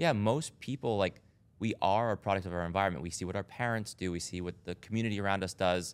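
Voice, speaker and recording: At a very fast pace, a man talks with a fairly low pitch and ordinary pitch variation. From US Northeast, Rhode Island. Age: 30s. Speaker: doctor and wellness club founder. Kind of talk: casual chat. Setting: studio.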